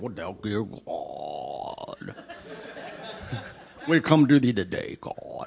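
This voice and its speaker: A man puts on a character voice, speaking at a very slow pace with long, frequent pauses. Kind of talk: archaic, formal prayer language. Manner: fake spiritual, exaggerated solemnity.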